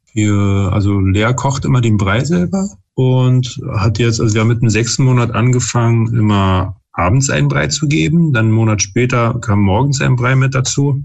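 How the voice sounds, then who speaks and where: Medium in pitch and somewhat breathy, a man speaks at a moderate pace with lively intonation, very even loudness and hardly any pauses. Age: 30s. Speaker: father and parenting YouTuber. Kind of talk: casual chat. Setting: video call.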